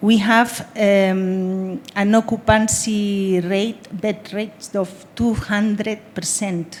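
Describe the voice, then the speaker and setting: A woman with a Spanish accent and fairly even intonation. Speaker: humanitarian aid worker. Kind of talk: panel discussion. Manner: halting.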